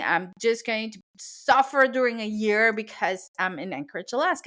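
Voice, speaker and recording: A woman with a Spanish accent, very wide pitch swings and a fairly quick pace. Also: very clean recording, silent background. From Venezuela. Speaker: cake decorator and business coach, podcast host. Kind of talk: podcast monologue. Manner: conversational, with hesitations.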